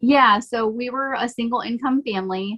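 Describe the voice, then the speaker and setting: A woman's bright, sharp voice at a moderate pace, with ordinary pitch variation and a dry, close sound with no echo. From Michigan, near Detroit, Canadian border. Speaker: realtor and mom, podcast guest. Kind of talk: casual interview.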